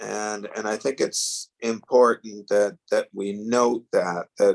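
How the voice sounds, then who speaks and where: A man with a Canadian accent speaks at a fairly slow pace, the sound dry and close with no echo. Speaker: town councillor. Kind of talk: council meeting remarks. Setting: remote call from a neighbor's living room. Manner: quiet.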